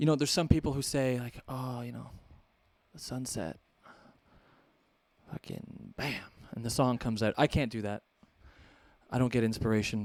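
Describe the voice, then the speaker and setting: Pausing long and often, a man in a Canadian accent speaks at a medium pitch with ordinary pitch variation and big swings in loudness. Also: moderate pace. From Canada. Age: 30s. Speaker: guitarist. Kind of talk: guitar clinic talk to audience. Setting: music store with live audience. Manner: casual, joking.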